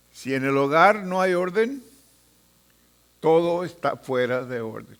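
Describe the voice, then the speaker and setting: Audible room echo surrounds a fairly high-pitched man who speaks very slowly with lively intonation. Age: 80s+. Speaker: pastor. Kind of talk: sermon.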